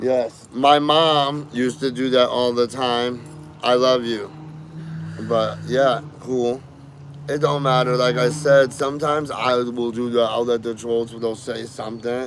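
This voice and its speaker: Over noticeable background noise, a man of medium pitch speaks at a fairly slow pace with fairly even intonation. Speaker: livestreamer. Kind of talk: casual chat.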